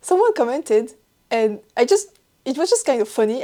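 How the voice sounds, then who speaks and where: A woman with a French accent at a moderate pace, on a very clean recording with a silent background. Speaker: knitting podcaster. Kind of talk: casual chat. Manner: talks while laughing.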